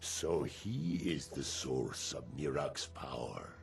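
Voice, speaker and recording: In a put-on character voice, a man speaks very slowly with a very deep, low pitch and a solemn tone. Background noise is clearly present. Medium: video game. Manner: solemn, measured.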